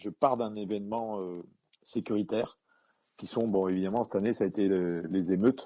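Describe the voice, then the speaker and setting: A man with a fairly low pitch and a dark, mellow tone, fairly even intonation, a moderate pace, and a quiet background. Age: 60s. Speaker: retired police commander and author. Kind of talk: interview. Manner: halting, many hesitations.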